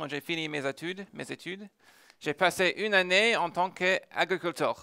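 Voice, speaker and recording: With a bright, sharp tone and an American accent, a man speaks at a fairly slow pace, the recording very clean with a silent background and a dry, close sound with no echo. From United States. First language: English (speaking French). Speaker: tech entrepreneur. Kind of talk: conference talk. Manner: hesitant, many filler sounds.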